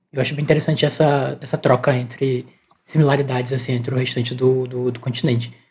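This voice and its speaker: This woman's voice is very deep and low, with a dark, mellow tone, a somewhat breathy quality, fairly even intonation and a fairly quick pace. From Campos dos Goytacazes, Rio de Janeiro state, Brazil. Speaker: podcast co-host. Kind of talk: interview.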